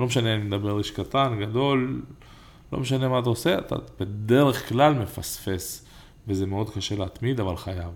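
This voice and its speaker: Audible room echo surrounds a man with a fairly low pitch. He talks at a moderate pace with ordinary pitch variation. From Israel, Ramla. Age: 30s. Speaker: entrepreneur and podcast co-host. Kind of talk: casual chat. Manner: animated.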